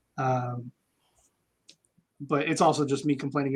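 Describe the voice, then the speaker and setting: A fairly slow, somewhat breathy voice with an American accent and fairly even intonation, recorded with a dry, close sound and no echo. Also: man. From Kansas (military brat). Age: 40s. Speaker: army veteran, former interrogator. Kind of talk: casual chat. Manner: hesitant, many fillers.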